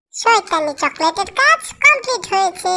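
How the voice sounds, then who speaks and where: This woman's put-on character voice is squeaky and extremely high-pitched, with very wide pitch swings. She talks at a moderate pace. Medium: fan dub. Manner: brash, boisterous.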